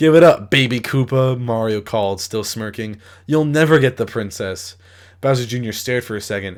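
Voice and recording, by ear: With ordinary pitch variation, the voice reads aloud in a natural way.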